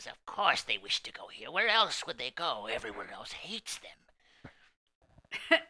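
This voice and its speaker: Putting on a character voice, a man talks at a fairly slow pace with hardly any pauses. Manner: scornful, sneering, cackling.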